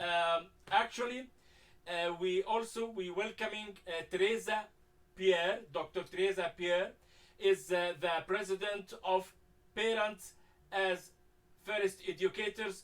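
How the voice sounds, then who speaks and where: A man with a strong non-native accent and a high pitch speaks at a fairly slow pace with fairly even intonation and long, frequent pauses. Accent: heavy foreign. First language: Arabic. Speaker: talk show host. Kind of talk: moderated discussion. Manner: halting, many fillers.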